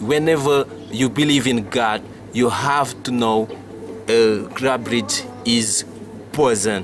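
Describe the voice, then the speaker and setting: At a very slow pace, a man speaks at medium pitch with fairly even intonation, with noticeable background noise behind him. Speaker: TV show host. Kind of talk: interview. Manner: halting.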